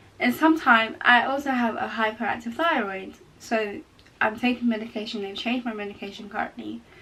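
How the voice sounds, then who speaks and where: A woman talks fairly quickly, her pitch varying in an ordinary way, against noticeable background noise. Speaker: vlogger. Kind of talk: casual chat. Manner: halting.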